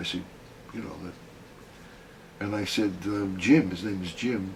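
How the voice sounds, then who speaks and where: Audible room echo around a man's fairly low voice, its pitch varying in an ordinary way. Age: 80s+. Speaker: gestalt therapist. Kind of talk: interview.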